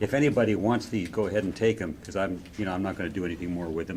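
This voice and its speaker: A man with a very deep, low voice speaks very fast with ordinary pitch variation. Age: 80s+. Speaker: scale model builder. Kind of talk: casual show-and-tell at club meeting. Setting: club meeting room with group. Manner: halting, many fillers.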